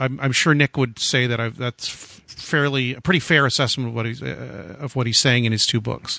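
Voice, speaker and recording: A man's voice of medium pitch with vocal fry, fairly even intonation, a fairly quick pace and hardly any pauses. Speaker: radio host. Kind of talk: casual interview. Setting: phone call.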